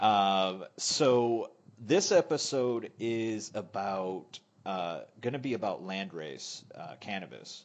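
A man with an American accent speaks at a very slow pace, his pitch fairly low and his intonation lively. The background is quiet. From United States. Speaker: podcast host. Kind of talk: casual chat.

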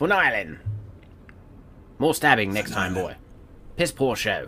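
Over clear background noise, a man speaks in a put-on character voice at a fairly high pitch and a moderate pace. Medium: actual play. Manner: scolding, gruff.

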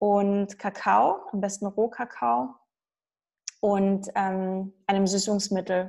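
A woman speaks very slowly at a medium pitch. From Saxony, eastern Germany. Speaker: nutrition coach. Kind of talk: interview. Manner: halting.

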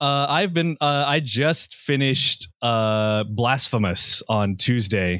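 The recording is very clean, with a silent background. A man with a Singaporean accent talks very slowly at medium pitch with ordinary pitch variation. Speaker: game narrator, podcast cast member. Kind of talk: casual chat.

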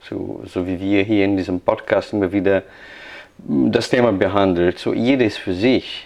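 A man with a Portuguese accent is talking. His pace is fairly slow. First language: Portuguese (speaking German). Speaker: pastor. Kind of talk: casual chat.

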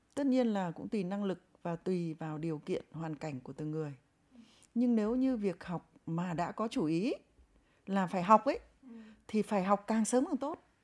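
Speaking at a moderate pace, a woman uses a plain, everyday voice of medium pitch with lively intonation. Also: very clean recording, silent background. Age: 50s. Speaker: professor, host's mother. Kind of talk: casual interview, personal storytelling.

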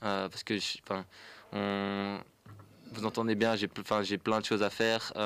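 Very slow and monotone, a man with a fairly low pitch speaks with long, frequent pauses in a very clean recording with a silent background. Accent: Dutch. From Flanders, Belgium. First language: Dutch (speaking French). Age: 20s. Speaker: young cyclist, pump track builder. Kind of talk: radio interview.

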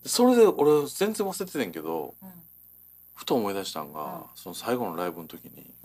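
At a moderate pace, a medium-pitched man talks with very wide pitch swings. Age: 40s. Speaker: radio co-host, shop owner. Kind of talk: casual chat.

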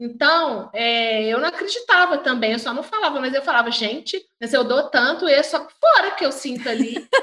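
Her voice raised and projected, a woman speaks at a high pitch with lively intonation. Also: moderate pace, hardly any pauses. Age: 40s. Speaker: sex coach. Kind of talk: casual interview chat.

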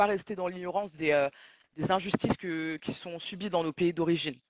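Her voice is a plain, everyday voice, pitched fairly low for a woman. She keeps a moderate pace and fairly even intonation. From Mali / Senegal heritage. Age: 30s. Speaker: audiovisual journalist and talk show host. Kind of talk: live podcast discussion.

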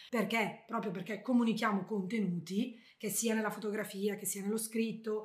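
Somewhat breathy, a woman speaks at a fairly high pitch. Room echo is audible around her. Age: 40s. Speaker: travel blogger. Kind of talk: interview. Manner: talkative.

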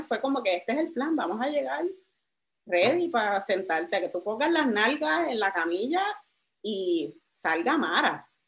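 Here a woman is speaking at a moderate pace. Her pitch swings very wide. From Puerto Rico, San Juan area. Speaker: activist and journalist, book author. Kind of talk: interview conversation.

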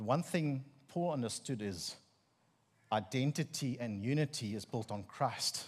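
A man with an Afrikaans South African accent and lively intonation, long, frequent pauses, and a very clean recording with a silent background. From South Africa, Free State. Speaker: preacher giving a sermon. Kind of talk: sermon. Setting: church with congregation.

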